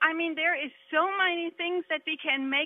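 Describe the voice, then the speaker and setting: A woman's high-pitched voice with a German accent, ordinary pitch variation and a fairly slow pace. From Germany. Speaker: candidate for state house, businesswoman. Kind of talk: political debate. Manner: animated, emphatic.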